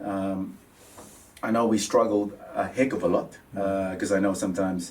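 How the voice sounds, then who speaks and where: The voice moves at a moderate pace with monotone, flat intonation and audible room echo. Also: man, fairly low pitch for a man. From Papua New Guinea. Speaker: mortgage adviser. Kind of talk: interview. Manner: halting, many fillers.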